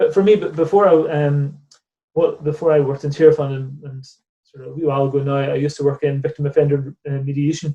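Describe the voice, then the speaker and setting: Speaking at a very fast pace, a man with a fairly high pitch and a dark, mellow tone sounds somewhat breathy, keeping a flat, monotone intonation while his loudness swings widely. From Northern Ireland, near Belfast. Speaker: charity director. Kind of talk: interview conversation. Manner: hesitant, with many repeated words.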